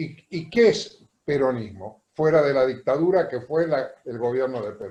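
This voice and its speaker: Here a man with a fairly high pitch speaks at a fairly slow pace, his tone dark, mellow and somewhat breathy. His intonation is lively, with big swings in loudness. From Argentina. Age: 70s. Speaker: audience member asking questions. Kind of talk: question in a panel discussion.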